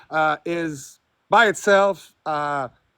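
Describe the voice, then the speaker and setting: The sound is dry and close with no echo as a man speaks with a French accent. His intonation is lively. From France. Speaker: theist caller in debate stream. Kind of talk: debate. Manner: halting.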